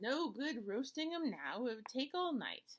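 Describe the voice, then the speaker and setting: A woman's put-on character voice, high in pitch. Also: moderate pace. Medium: read story. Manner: gruff, bickering.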